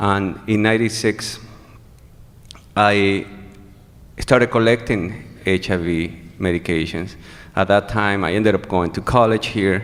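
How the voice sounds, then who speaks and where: A man with a Venezuelan accent speaks at a fairly low pitch. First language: Spanish. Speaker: HIV activist. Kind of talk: testimony. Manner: halting.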